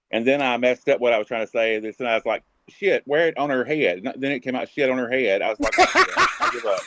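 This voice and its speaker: A man with a Southern US accent, medium pitch and ordinary pitch variation. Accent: Southern US drawl. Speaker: live stream chat guest. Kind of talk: casual chat. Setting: video call.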